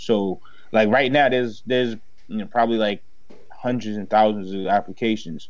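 Audible room echo carries a man's voice, which stays fairly even in intonation. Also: fairly low pitch for a man, moderate pace. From Haiti, raised in Dorchester, Boston. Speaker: commercial real estate broker and entrepreneur. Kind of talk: casual chat.

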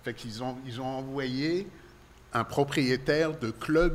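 The man's fairly high voice proceeds at a very slow pace. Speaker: libertine club owner. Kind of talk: interview. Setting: in his club.

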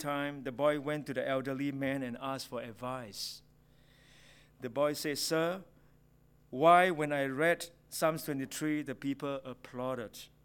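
A man with a Singaporean accent speaks at a fairly high pitch, moderate pace and fairly even intonation. The recording is very clean with a silent background. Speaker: preacher. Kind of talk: sermon. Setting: church.

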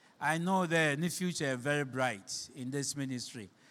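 A man with a Ghanaian accent speaks at a moderate pace, with a fairly high pitch and ordinary pitch variation. The recording is very clean, with a silent background. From Ghana, Shama (Western Region). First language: Fante (Akan). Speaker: pastor. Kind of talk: sermon.

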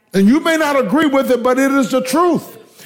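The tone is animated, with lively intonation and an American accent. There is noticeable background noise. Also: man. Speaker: preacher. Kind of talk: sermon, preacher in full flow, exhorting the congregation. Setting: church with congregation. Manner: animated, fervent, rising exhortation with call-and-response; rhetorical questions, repeating phrases for emphasis.

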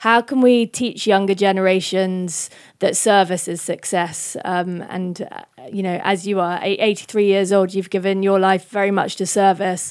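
A woman speaks with a British accent at a moderate pace. Her medium pitch stays monotone and flat. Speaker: event curator and podcast host. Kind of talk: scripted introduction and moderated talk. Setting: stage with audience.

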